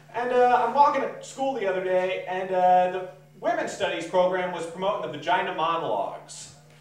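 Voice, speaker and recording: Light background noise and audible room echo around a man talking at a moderate speed. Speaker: stand-up comedian. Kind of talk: stand-up comedy routine. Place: garage.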